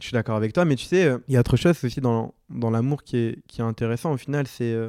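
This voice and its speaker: Recorded very cleanly against a silent background with a dry, close sound and no echo, a man speaks at a fairly quick pace in a dark, mellow tone. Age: 20s. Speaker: podcast guest, friend of the host. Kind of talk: casual chat.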